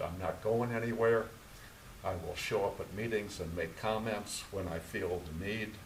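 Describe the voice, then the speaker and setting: Audible room echo surrounds a man speaking at a moderate pace, with medium pitch and fairly even intonation. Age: 70s. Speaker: planning commission member. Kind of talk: public meeting remarks.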